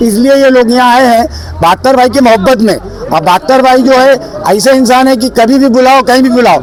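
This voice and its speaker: A man's extremely high-pitched voice at very even loudness, with crowd noise in the background. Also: ordinary pitch variation, moderate pace. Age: 60s. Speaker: local supporter at political rally. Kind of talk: street interview.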